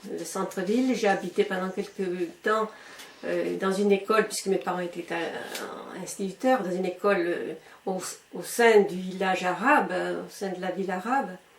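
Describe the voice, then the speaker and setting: Over noticeable background noise, a woman keeps a moderate pace with fairly even intonation and big swings in loudness. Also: medium pitch for a woman. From Algeria. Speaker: retired schoolteacher. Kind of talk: interview answer.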